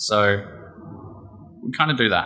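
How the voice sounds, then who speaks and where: A man with an Australian accent, against noticeable background noise. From Australia (Geelong, Victoria). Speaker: conference speaker, startup developer. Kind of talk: conference talk; Q&A answer. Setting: stage with audience. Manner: fast.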